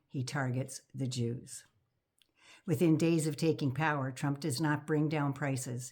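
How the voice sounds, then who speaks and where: Soft-spoken, a woman talks in a very deep, low pitch with a dark, mellow tone. Her intonation is monotone and flat, in a very clean recording over a silent background. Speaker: political commentator vlogger. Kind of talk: casual monologue.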